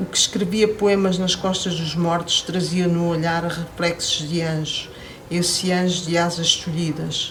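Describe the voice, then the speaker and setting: A woman's fairly low, monotone voice at a fairly slow pace, flat in intonation, over noticeable background noise. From Angola, then Portugal. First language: Portuguese (speaking French). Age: 60s. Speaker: poet. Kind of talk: poetry reading. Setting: poetry festival interview.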